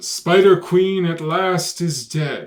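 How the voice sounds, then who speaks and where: A man does a put-on character voice, pitched high and delivered at a very slow pace. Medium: read story. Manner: solemn, humble.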